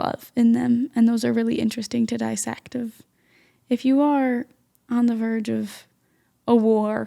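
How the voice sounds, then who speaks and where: A woman is speaking. She talks at a fairly slow pace. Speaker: podcast co-host and editor. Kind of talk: casual podcast conversation.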